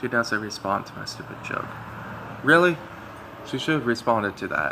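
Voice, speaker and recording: Loudness swings widely as a man with a medium-pitched voice talks with lively intonation over noticeable background noise. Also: moderate pace. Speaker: gamer. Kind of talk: let's play commentary with reading aloud. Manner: halting, many fillers.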